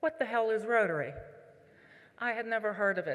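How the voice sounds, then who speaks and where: This woman has an American accent. She talks at a medium pitch. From southwestern Pennsylvania (Pittsburgh area). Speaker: Rotary leader, conference speaker. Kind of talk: keynote speech.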